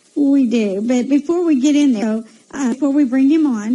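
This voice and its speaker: A woman's high-pitched voice moves at a moderate pace with ordinary pitch variation against noticeable background noise. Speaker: psychic radio host. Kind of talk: radio interview chat. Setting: live radio show. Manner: soft, unable to project.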